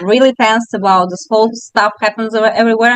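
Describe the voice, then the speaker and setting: A woman's fairly high, fairly quick voice in a Russian accent, with a dry, close sound with no echo. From Russia, Moscow. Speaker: bakery owner. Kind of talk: interview. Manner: fast.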